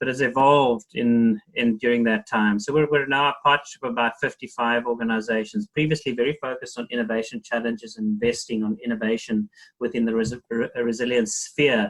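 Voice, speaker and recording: Speaking with a South African accent, a man moves at a fairly quick pace with hardly any pauses. His intonation is lively. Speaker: NGO executive. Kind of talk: panel discussion.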